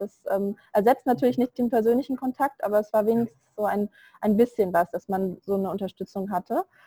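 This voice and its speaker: In a dry, close recording with no echo, a woman with a fairly high pitch and a dark, mellow tone speaks at a fairly quick pace with fairly even intonation. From Germany. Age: 20s. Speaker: virtual assistant, self-employed. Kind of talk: interview. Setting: online call from India.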